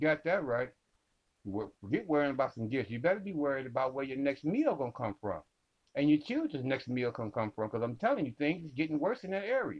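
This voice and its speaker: A man with an American accent, lively intonation and a very fast pace. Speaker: podcast host. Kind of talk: angry rant. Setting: studio. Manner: loud, indignant, preachy, stumbling over words; repetitive direct address to audience.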